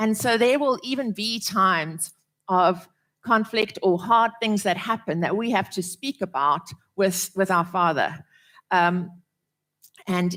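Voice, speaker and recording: At a fairly slow pace, a woman speaks in a medium pitch with a bright, sharp tone and ordinary pitch variation. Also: very clean recording, silent background. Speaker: preacher. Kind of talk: sermon.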